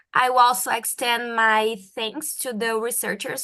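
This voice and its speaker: A woman with a Portuguese accent speaks at a fairly high pitch, her intonation fairly even. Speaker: medical doctor and researcher. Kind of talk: research presentation.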